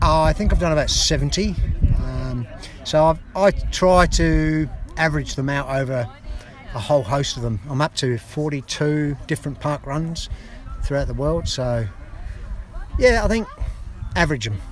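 In an Australian accent, a man speaks fairly slowly with long, frequent pauses over noticeable background noise. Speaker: parkrunner. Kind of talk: casual interview chat. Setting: outdoors at event.

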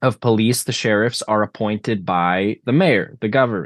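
Speaking fairly slowly, a man with an unremarkable speaking voice and a fairly low pitch shows ordinary pitch variation in a dry, close recording without echo. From Canada (Alberta). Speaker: political candidate. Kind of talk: interview.

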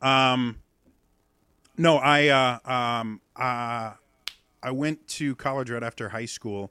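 On a very clean recording with a silent background, a man talks at a medium pitch in a bright, sharp tone with fairly even intonation. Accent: Midwestern American. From US Midwest. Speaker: accent coach and streamer. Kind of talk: casual interview.

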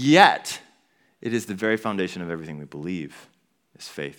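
An unremarkable speaking voice from a man, fairly low in pitch with lively intonation, in a very clean recording with a silent background. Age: 20s. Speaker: pastor. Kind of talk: sermon. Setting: church.

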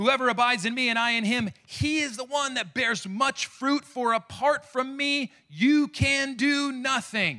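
Raised and projected, a man's voice sits at an extremely high pitch with a bright, sharp tone. He moves at a fairly slow pace with hardly any pauses and ordinary pitch variation. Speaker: pastor. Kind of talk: sermon.

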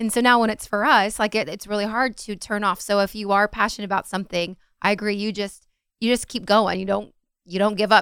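On a very clean recording with a silent background, a woman speaks fairly quickly at a medium pitch in a monotone, flat intonation. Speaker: comedy podcast co-host, former radio phone screener. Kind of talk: casual interview conversation. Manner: laughs often.

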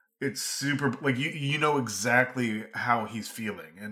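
Speaking at a fairly slow pace, a man has a medium-pitched voice with a bright, sharp tone. His pitch varies in an ordinary way. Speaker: film podcast co-host. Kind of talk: casual chat. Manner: jokey.

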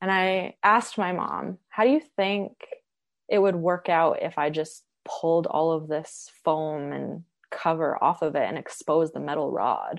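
Against a quiet background, a woman with a fairly low pitch and ordinary pitch variation speaks at a fairly slow pace. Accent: western Canadian. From Canada, Edmonton (Alberta). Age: 20s. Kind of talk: interview.

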